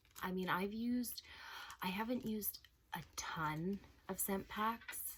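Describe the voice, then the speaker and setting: Soft-spoken and fairly high-pitched, a woman speaks at a fairly slow pace with very even loudness. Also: ordinary pitch variation. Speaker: beauty and home products vlogger. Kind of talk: casual vlog review.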